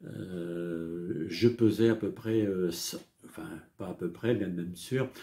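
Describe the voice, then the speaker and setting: This man's voice sits very deep and low, with a dark, mellow tone. He talks at a very slow pace. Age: 60s. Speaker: health vlogger. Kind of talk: personal testimony. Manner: halting, many hesitations.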